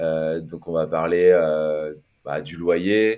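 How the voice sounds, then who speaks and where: With fairly even intonation, a man's voice comes through over a quiet background. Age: 30s. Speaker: podcast guest, financially independent investor. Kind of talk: casual interview. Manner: hesitant, many fillers.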